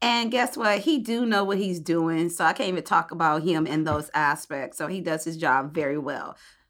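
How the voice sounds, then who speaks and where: An ordinary speaking voice with an American accent, moderate pace, lively intonation and hardly any pauses, in a very clean recording with a silent background. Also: woman, fairly low pitch for a woman. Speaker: podcast host. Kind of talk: casual chat.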